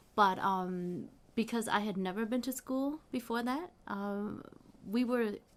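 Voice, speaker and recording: Pacing herself fairly slowly, a woman speaks with ordinary pitch variation. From US Midwest, Saint Paul, Minnesota. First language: Hmong. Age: 40s. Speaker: history professor. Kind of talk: interview.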